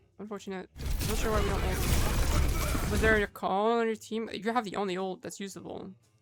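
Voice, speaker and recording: The speaker's flat, monotone intonation moves at a moderate pace while music plays in the background. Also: woman, medium pitch for a woman. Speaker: Overwatch coach. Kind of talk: gameplay vod review commentary. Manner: casual.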